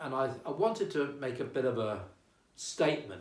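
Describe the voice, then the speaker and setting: A somewhat breathy man's voice at medium pitch, with audible room echo. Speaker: town crier. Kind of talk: casual interview.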